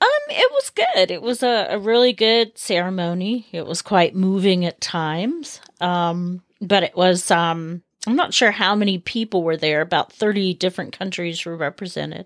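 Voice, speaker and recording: In a dry, close recording with no echo and a silent background, a woman with a plain, everyday voice talks at a moderate pace, medium in pitch with ordinary pitch variation. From United States. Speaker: host's wife. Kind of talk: casual chat.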